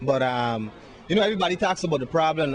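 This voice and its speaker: Speaking very fast with an American accent, a man has a fairly high pitch against noticeable background noise. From US Virgin Islands. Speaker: musician. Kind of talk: interview.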